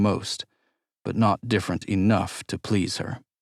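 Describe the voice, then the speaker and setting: A man speaks in an ordinary speaking voice, fairly low-pitched, with fairly even intonation. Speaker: audiobook narrator. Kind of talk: audiobook narration.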